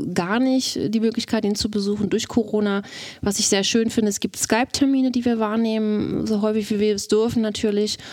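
A woman speaks at a fairly quick pace with a fairly high pitch. Her intonation is monotone and flat. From Mecklenburg, northeastern Germany. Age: 40s. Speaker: wife of accused murderer. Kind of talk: interview testimony. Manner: hesitant.

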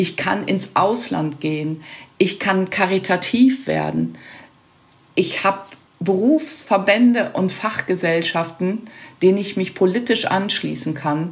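Lively in intonation, a woman talks at medium pitch. Her pace is very slow, with long, frequent pauses. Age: 60s. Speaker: nursing council chair and nursing lecturer. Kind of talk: interview.

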